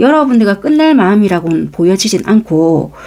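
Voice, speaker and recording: A woman with a Busan accent speaks in a dark, mellow tone with very wide pitch swings. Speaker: tarot reader. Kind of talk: tarot reading to camera. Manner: conversational, explanatory.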